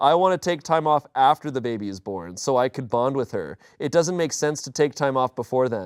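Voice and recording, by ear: The pitch moves in an ordinary way. Someone is reading aloud in a natural voice.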